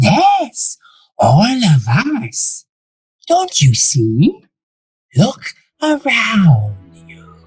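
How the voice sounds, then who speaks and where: Someone in a put-on character voice talks very slowly, leaving long, frequent pauses. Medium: audio drama. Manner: suave, calm.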